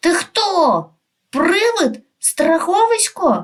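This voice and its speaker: Using a put-on character voice, a woman speaks very slowly in an extremely high, shaky pitch. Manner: trembling.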